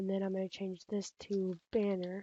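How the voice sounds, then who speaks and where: A woman's dark, mellow voice comes across monotone and flat, dry and close with no echo. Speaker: graphics design tutorial youtuber. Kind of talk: tutorial. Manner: casual, many fillers; fast.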